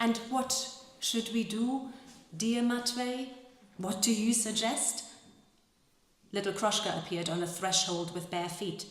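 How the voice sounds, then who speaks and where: Over noticeable background noise, a woman with a fairly high pitch talks at a fairly slow pace with ordinary pitch variation and long, frequent pauses. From Germany. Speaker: actress and translator. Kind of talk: literary reading to a live audience.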